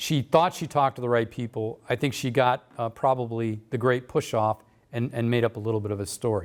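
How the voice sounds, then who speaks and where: Against a silent background, a man is captured in a very clean recording. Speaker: local history speaker. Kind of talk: public talk. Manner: fast.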